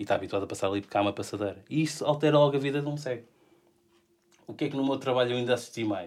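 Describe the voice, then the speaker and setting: A man's medium-pitched voice at a very fast pace, ordinary pitch variation, and long, frequent pauses. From Portugal, Lisbon area. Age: 40s. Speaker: illustrator with a bionic arm. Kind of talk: casual interview chat. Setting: studio.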